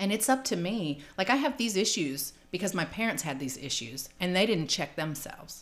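With music in the background, a woman with an American accent speaks at a moderate pace and medium pitch, her pitch swinging very widely, with hardly any pauses. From California and Georgia. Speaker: public housing resident in recovery. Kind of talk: interview testimony.

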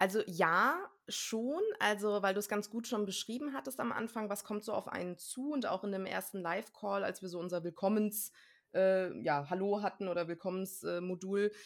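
The speaker talks at a moderate pace with ordinary pitch variation. It is a plain, everyday voice. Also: woman, medium pitch for a woman. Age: 30s. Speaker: trained actress and coach, course graduate. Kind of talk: interview.

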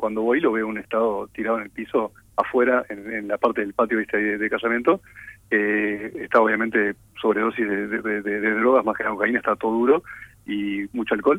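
A man speaks at a fairly quick pace in a fairly low voice. His intonation stays flat and monotone. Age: 30s. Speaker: doctor with Tourette syndrome. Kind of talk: radio interview, personal story.

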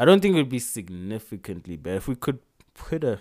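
A man talks in an animated tone, his pitch swinging very widely. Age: 20s. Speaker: podcast co-host. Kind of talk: casual chat. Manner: animated, laughing often.

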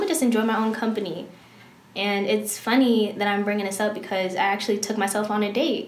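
Talking at a very fast pace, a woman with an American accent sits at a medium pitch. Noticeable background noise and audible room echo fill the recording. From Maryland, Prince George's County. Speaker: vlogger. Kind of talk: casual chat.

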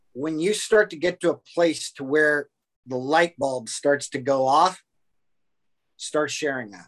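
Fairly slow speech from a man, fairly high in pitch and ordinary in its pitch variation. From US West Coast, Orange County, California. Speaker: breathing and fitness coach. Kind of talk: casual interview chat. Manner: halting, many repetitions and fillers.

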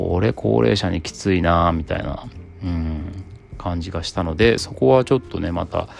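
Lively intonation runs through this man's very deep, low voice. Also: moderate pace. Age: 40s. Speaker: podcaster, father and office worker studying at university. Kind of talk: casual solo podcast monologue.

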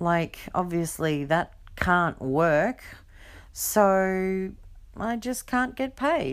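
Lively intonation marks a woman's speech in a very clean recording with a silent background. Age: 40s. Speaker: podcast host. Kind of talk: casual monologue.

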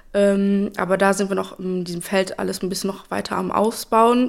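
A woman at medium pitch speaks in a monotone, flat intonation. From Germany, East Westphalia (Espelkamp). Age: 20s. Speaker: media psychologist and social media consultant. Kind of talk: casual interview.

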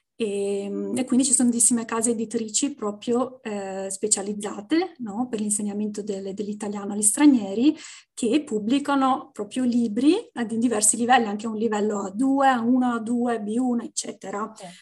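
In a quiet background, a woman speaks at a moderate pace and a fairly high pitch, her tone dark, mellow and somewhat breathy, with ordinary pitch variation and big swings in loudness. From Venice, Italy. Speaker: Italian teacher, language content creator. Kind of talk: podcast interview.

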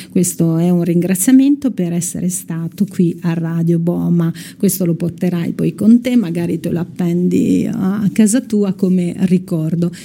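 Noticeable background noise can be heard. The talking is fairly slow, with pitch varying in an ordinary way. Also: woman, fairly low pitch for a woman. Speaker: radio host. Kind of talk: casual chat. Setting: studio.

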